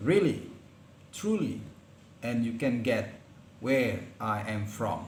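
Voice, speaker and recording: In a room with audible echo, a man with a medium pitch speaks very slowly and somewhat breathily, with ordinary pitch variation and long, frequent pauses. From Indonesia, Palembang. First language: Palembangese. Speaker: lecturer. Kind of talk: lecture. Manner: halting.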